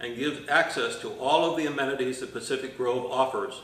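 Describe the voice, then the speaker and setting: Moderate-paced male speech amid audible room echo and noticeable background noise. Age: 70s. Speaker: mobile home park resident. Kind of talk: testimony.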